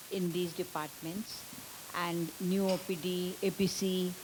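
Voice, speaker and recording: Medium-pitched woman's voice, somewhat breathy. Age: 70s. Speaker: hospital volunteer and cancer survivor. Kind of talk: panel talk. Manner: halting.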